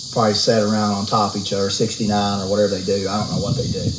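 A man talks at a fairly low pitch while noticeable background noise carries on behind him. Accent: American. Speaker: house flipper vlogger. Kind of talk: casual rant vlog. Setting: outdoors. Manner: animated, irritated.

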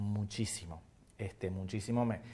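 A man talks in a fairly low voice with monotone, flat intonation. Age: 40s. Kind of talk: TV interview. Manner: halting, many fillers and repetitions. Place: studio. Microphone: lapel.

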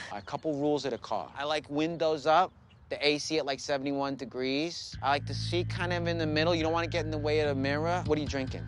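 Over music in the background, a man talks at a very fast pace in a dry sound with no echo. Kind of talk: scripted comedy dialogue. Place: car.

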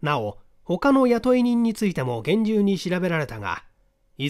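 On a very clean recording with a silent background, a man speaks at a fairly quick pace. His tone is clear and smooth, with big pitch swings.

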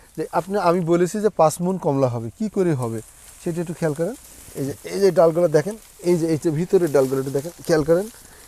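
A man talks at a high pitch with ordinary pitch variation. Noticeable background noise runs underneath. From Bangladesh, Meherpur. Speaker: orange farmer and orchard owner. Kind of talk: casual interview during an orchard tour. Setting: outdoors in an orchard.

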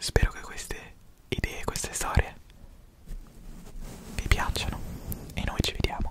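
Whispering at a fairly slow pace, a man speaks. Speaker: philosophy content creator. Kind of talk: soft-spoken ASMR storytelling. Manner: soft, close-mic ASMR murmur. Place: home room. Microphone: studio mic.

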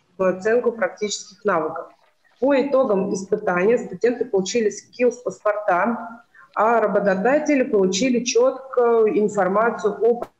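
Against a quiet background, a woman with a fairly high pitch talks at a moderate pace with ordinary pitch variation and very even loudness, in an unremarkable speaking voice. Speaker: college educator. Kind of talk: presentation. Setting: video call. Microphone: video call.

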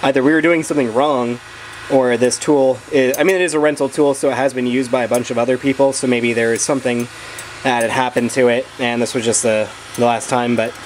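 A man speaks at a very fast pace with very even loudness and fairly even intonation, against light background noise. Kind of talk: tutorial. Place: garage. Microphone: phone near.

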